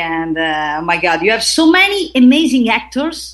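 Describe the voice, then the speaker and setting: A woman with an Italian accent speaks in a room with audible echo. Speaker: actress and aerial artist. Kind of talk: interview. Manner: halting.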